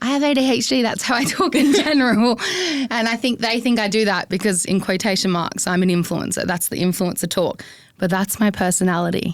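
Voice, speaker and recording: A woman speaks in an Australian accent with lively intonation. Her pace is fairly quick and her loudness very even. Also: medium pitch for a woman. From South Australia, country town. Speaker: social media influencer. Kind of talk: interview. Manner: expressive, animated.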